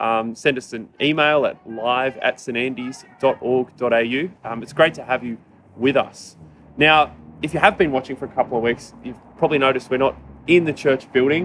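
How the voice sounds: Here a man speaks at medium pitch with ordinary pitch variation. His voice has a slightly husky edge. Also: moderate pace, few pauses.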